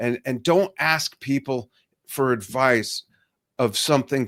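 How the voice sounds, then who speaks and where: A man with a normal speaking voice talks at a fairly slow pace and medium pitch, his intonation lively. The recording is very clean with a silent background, and the sound is dry and close with no echo. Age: 60s. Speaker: drummer and business mentor. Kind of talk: interview.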